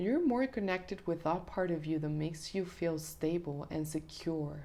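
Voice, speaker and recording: A woman at a moderate pace, fairly low in pitch with ordinary variation, dark and mellow in tone, and very even in loudness. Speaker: tarot reader. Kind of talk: tarot reading monologue. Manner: hesitant fillers.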